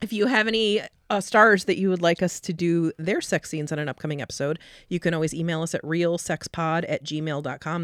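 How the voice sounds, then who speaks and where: In a very clean recording with a silent background and a dry, close sound with no echo, the speaker has an unremarkable speaking voice, a moderate pace and ordinary pitch variation. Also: woman. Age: 40s. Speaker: clinical sexologist and podcast host. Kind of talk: casual chat.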